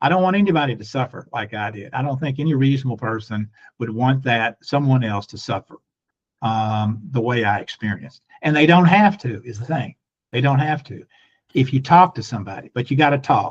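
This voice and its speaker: A man's medium-pitched, somewhat breathy voice at a fairly quick pace, with lively intonation and big swings in loudness. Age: 70s. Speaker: lawyer, mental health advocate. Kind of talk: interview testimony.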